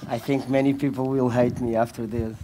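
A man with a Portuguese accent, medium pitch and a dark, mellow tone, at a moderate pace over light background noise. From Portugal. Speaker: fashion label founder; speaker. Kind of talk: panel discussion. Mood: relaxed, joking. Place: stage. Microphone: headset.

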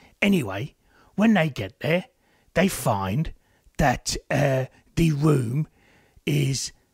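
This man puts on a character voice pitched fairly high. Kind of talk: casual podcast review. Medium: talk show. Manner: chatty, jokey, rambling.

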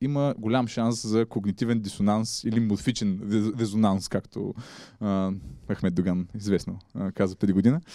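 In a dry sound with no echo and a quiet background, a man's fairly low voice has a dark, mellow tone and ordinary pitch variation. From Bulgaria, Ruse; Bulgaria. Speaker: journalist; guest. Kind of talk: public talk. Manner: halting. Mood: relaxed, humorous. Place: hall. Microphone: handheld.

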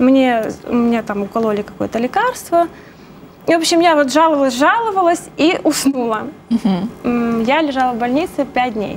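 A woman at high pitch with lively intonation and a moderate pace, over light background noise. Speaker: program guest booker and massage therapist. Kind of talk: personal testimony. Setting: TV studio. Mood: calm, reflective. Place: studio. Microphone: lapel.

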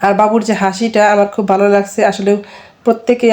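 Her pitch is in the middle range for a woman, and her tone comes across dark and mellow. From Bangladesh. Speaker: vlogger and homemaker. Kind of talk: cooking tutorial vlog.

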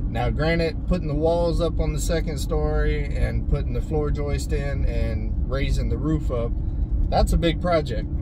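A man with a very deep, low pitch speaks at a moderate pace in an American accent, with fairly even intonation and very even loudness. The sound is dry with no echo, over loud background noise. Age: 40s. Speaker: homesteading vlogger. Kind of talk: casual vlog talk to camera. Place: car. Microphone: phone near.

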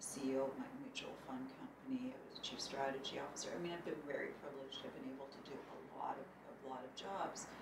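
A woman whispers at a very fast pace, with audible room echo and noticeable background noise. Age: 50s. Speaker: bank board director and business owner. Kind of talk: interview.

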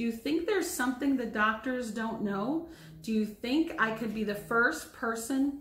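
Simply a natural reading voice

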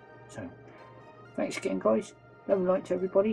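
Over faint background music, a man with a high pitch speaks at a fairly quick pace with very wide pitch swings. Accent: West Country. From West Country, England. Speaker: vlogger. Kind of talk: casual vlog talk to camera. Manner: hesitant, many fillers. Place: home room. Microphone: phone near.

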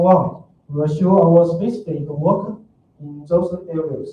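In a room with audible echo, a man speaks very slowly at a high pitch with ordinary pitch variation. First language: Chinese. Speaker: open source developer; conference presenter. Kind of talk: conference talk. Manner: hesitant, many fillers. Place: hall.

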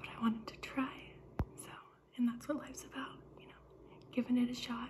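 Whispering at a fairly quick pace, a woman shows big swings in loudness. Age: 20s. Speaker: ASMR content creator. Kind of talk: ASMR personal attention role play. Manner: soft-spoken, chatty. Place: kitchen. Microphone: phone near.

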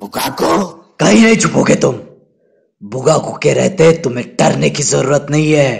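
Using a cartoonish character voice at medium pitch, a man goes at a fairly slow pace. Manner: arrogant, confident.

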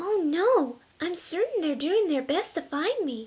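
A put-on character voice with an extremely high pitch moves at a moderate pace. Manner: soft-spoken, shy.

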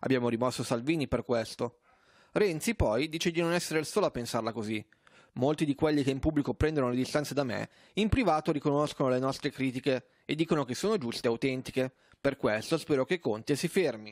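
In a very clean recording with a silent background and a dry, close sound with no echo, a man talks at a very fast pace, his fairly high pitch showing ordinary variation. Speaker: news anchor. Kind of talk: news reading. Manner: formal, even-paced newsreader delivery.

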